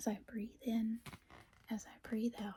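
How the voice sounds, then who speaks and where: A woman whispers in a gentle tone. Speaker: ASMR creator. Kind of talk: bedtime story reading, ASMR. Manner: soft-spoken, gentle, whispery.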